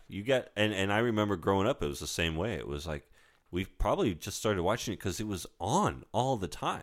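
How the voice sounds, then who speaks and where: In an unremarkable speaking voice, a man talks at a fairly quick pace with fairly low pitch and lively intonation on a very clean recording with a silent background. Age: 40s. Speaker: podcast co-host, film fan. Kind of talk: casual chat.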